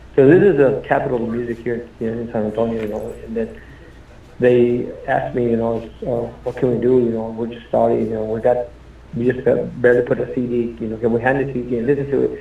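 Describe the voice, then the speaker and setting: Someone with an American accent speaks at a fairly quick pace, with audible room echo around the voice. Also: man, medium pitch for a man, fairly even intonation. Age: 60s. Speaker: Tejano musician. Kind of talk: interview. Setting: radio studio. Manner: casual, halting with repetitions.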